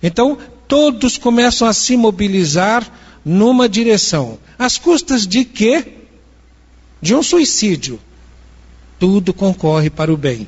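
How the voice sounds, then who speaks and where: Pitched high, a man speaks at a very slow pace with long, frequent pauses, very wide pitch swings and very even loudness. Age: 70s. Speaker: spiritist lecturer. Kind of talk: lecture.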